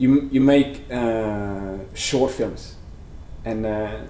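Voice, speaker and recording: Speaking in a Norwegian accent at medium pitch, a man is heard with audible room echo. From Norway (Sandefjord). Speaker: animator. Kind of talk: interview. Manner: halting, many fillers.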